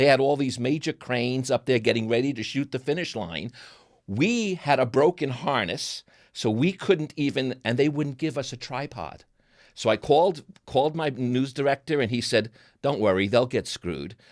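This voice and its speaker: A man's medium-pitched voice in a New York accent with lively intonation, on a very clean recording with a silent background. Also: moderate pace. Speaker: TV producer and interviewer. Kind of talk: casual chat.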